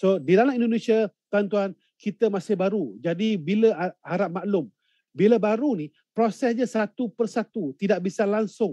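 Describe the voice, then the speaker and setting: Against a quiet background, a man with a high pitch and a dark, mellow tone talks at a moderate pace with ordinary pitch variation, the sound dry with no echo. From Malaysia. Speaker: event emcee and gold investment business leader; event emcee. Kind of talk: online webinar hosting. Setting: live online broadcast from a hotel or remote location. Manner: animated. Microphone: video call.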